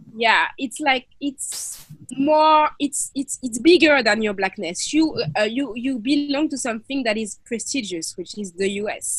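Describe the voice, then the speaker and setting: A woman speaks with a high pitch. Her pace is moderate. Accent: French. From France, Paris. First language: French. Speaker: activist and filmmaker. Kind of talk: interview.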